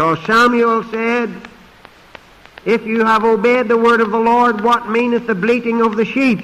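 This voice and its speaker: A man's extremely high pitch, fairly slow and monotone, with very even loudness. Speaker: pastor and preacher; pastor, preacher. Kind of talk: sermon preaching. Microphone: podium.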